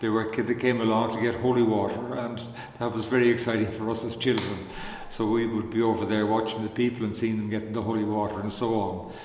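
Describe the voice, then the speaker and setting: The speech is very fast, with monotone, flat intonation. Audible room echo and noticeable background noise fill the recording. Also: man, medium pitch for a man. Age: 80s. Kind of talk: spiritual reflection talk. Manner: halting, many fillers.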